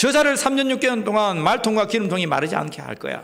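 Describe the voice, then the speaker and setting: Animated and high-pitched, a man talks at a very fast pace. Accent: Gyeongsang. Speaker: pastor. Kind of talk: sermon.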